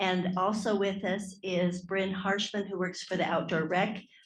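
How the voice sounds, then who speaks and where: Audible room echo surrounds a woman of medium pitch whose voice is somewhat breathy. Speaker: state parks grant manager. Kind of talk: conference presentation. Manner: soft-spoken.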